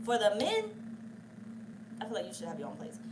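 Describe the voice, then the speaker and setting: Animated in tone, a woman speaks at a fairly high pitch. Room echo is audible, and there is noticeable background noise. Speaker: tarot reader. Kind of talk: tarot reading. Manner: fast.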